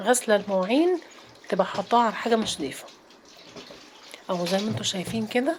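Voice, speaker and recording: A woman's fairly high-pitched voice at a very fast pace, with noticeable background noise. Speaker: home routine vlogger. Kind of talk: casual vlog narration. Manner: chatty, informal.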